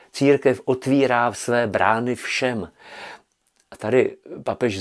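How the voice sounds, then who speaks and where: A man's voice of medium pitch. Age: old. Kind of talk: spiritual commentary.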